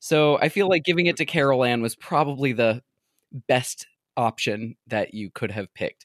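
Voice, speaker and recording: A man talks at a moderate pace with lively intonation. The recording is very clean and dry, close with no echo, over a silent background. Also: medium pitch for a man. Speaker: guest podcaster discussing Goosebumps books. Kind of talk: casual chat. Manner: outgoing.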